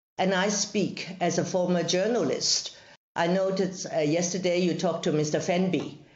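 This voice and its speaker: The intonation is monotone and flat, at a moderate pace. Audible room echo is present. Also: woman, fairly low pitch for a woman. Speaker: legislator and former journalist. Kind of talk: parliamentary evidence session. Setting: video call.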